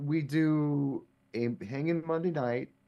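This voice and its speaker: This man's voice shows ordinary pitch variation. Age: middle-aged. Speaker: DJ, podcast guest. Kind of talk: casual chat.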